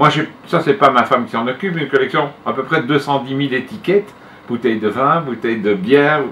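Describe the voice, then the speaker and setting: A man's fairly high voice with lively intonation at a fairly quick pace, over noticeable background noise. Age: 60s. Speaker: retired school headmaster and collector. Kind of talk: interview.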